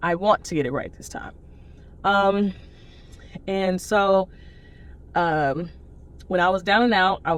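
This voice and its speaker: A fairly low-pitched woman's voice in a Southern US accent, fairly slow in pace, with ordinary pitch variation. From US South, Nashville, Tennessee. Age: 30s. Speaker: person in addiction recovery. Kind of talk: testimony.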